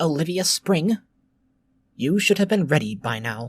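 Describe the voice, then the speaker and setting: In a put-on character voice, a man speaks squeakily at a fairly high pitch and a moderate pace, with very wide pitch swings. The sound is dry and close, with no echo. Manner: brusque, scolding.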